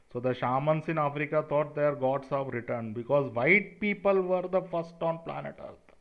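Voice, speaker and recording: This man, with an Indian accent, talks at a moderate pace with ordinary pitch variation. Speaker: conspiracy video creator. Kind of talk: monologue to camera. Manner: animated.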